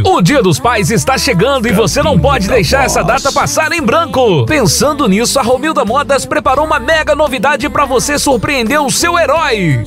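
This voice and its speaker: Clear music plays in the background as the speaker delivers lively intonation at a moderate pace with hardly any pauses. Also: man, extremely high pitch for a man. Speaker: voice actor. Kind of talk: retail radio commercial read. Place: booth.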